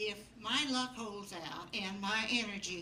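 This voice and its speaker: A woman's medium-pitched voice at a very slow pace against noticeable background noise. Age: 80s+. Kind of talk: live storytelling to an audience. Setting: live stage with audience.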